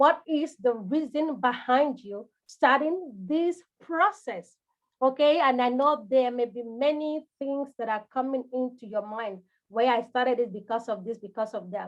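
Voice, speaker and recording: Speaking at a fairly slow pace, a woman with a high pitch talks in a Nigerian accent. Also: ordinary pitch variation. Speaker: home care business coach. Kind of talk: live coaching session. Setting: livestream.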